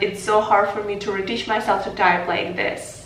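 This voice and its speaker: There is audible room echo and noticeable background noise. A woman with a Ukrainian accent speaks at a medium pitch. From Ukraine. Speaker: vlogger. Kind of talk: casual chat.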